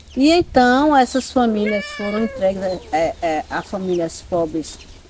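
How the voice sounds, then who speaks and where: Swinging very widely in pitch, a woman talks in a fairly high voice. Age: 60s. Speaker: quilombo community leader and terreiro caretaker. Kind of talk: oral history interview. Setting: on location at a terreiro in the quilombo. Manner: hesitant, many fillers and repetitions.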